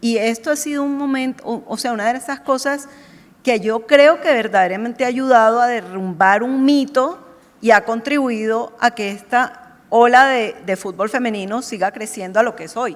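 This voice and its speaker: With a Colombian accent, a woman speaks at a moderate pace in a fairly high voice, her pitch varying in an ordinary way while her loudness swings widely. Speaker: marketing executive. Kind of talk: panel discussion. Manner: animated.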